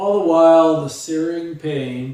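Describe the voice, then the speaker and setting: This man's voice sits fairly high in pitch and has a dark, mellow tone. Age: 60s. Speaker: memoir author, quadriplegic. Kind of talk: reading aloud. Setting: live stream.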